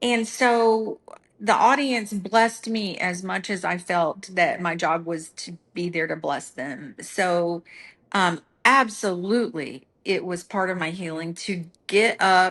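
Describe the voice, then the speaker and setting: A woman's medium-pitched voice at a very slow pace, with ordinary pitch variation, against a quiet background. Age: 60s. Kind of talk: casual chat.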